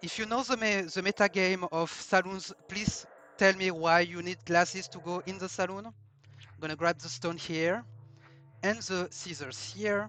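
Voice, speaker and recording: A man with a French accent speaks in a high pitch. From France. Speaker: speedrunner. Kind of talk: live gameplay commentary. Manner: halting.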